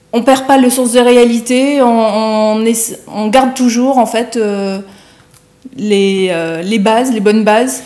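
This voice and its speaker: Very slowly, a woman speaks in a fairly high voice with fairly even intonation. Her long pauses come often. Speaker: TV morning show host. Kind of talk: TV interview questions.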